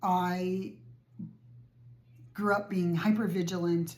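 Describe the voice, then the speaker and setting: A woman speaks with a somewhat breathy, dark and mellow tone and a fairly low pitch. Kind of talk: casual talk to camera.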